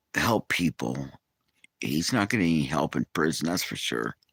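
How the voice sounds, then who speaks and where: This man's voice is very deep and low, with vocal fry and ordinary pitch variation at a moderate pace. The sound is dry and close, with no echo. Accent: American. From California, Bay Area. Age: 60s. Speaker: livestreamer. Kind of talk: casual live chat. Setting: outdoors.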